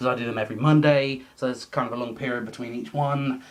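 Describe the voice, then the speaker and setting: A man at a very fast pace, fairly even intonation, and noticeable background noise. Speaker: YouTuber. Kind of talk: casual vlog monologue. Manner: stammering repetitions.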